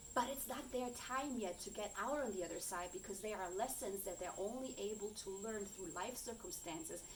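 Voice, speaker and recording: Amid audible room echo, a woman speaks at a medium pitch and a moderate pace, with ordinary pitch variation. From Germany. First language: German. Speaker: coach and content creator. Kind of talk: personal vlog monologue. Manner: halting, searching for words.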